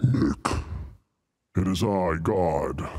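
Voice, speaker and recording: The voice is a raspy, put-on character voice. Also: man, very deep, low pitch for a man. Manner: booming, solemn.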